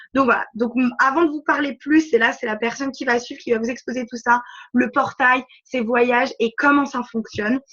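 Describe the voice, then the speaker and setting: Her pitch is high, with ordinary variation. The woman speaks at a moderate pace. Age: 20s. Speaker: network marketing recruiter. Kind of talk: conference call presentation. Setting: conference call.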